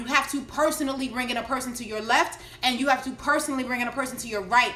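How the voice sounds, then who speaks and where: A woman's high-pitched, raised and projected voice at a very fast pace, fairly even in intonation, with audible room echo and noticeable background noise. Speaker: network marketing coach. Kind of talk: live stream Q&A tutorial.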